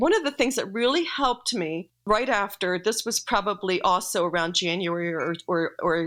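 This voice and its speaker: Recorded very cleanly against a silent background, a woman with a bright, sharp tone speaks at medium pitch and a moderate pace. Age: 60s. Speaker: pastor's widow and writer. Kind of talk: interview about grief. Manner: halting.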